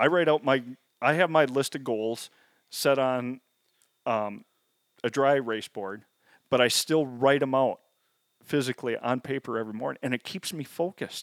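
A man with an American accent speaks at medium pitch and a moderate pace, using ordinary pitch variation and long, frequent pauses, in a dry, close sound with no echo. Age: 40s. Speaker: habitat consultant and hunter. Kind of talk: casual chat.

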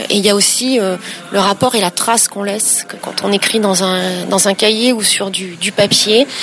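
Noticeable background noise sits under this woman's voice. She speaks at a moderate pace with medium pitch and fairly even intonation. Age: 40s. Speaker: entrepreneur. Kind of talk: interview. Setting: hotel in Paris. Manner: halting.

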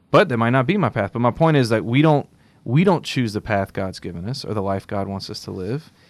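A man speaks at a moderate pace with an unremarkable speaking voice, medium pitch, and lively intonation. The recording is very clean, with a silent background. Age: 30s. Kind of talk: casual faith-themed chat. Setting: studio.

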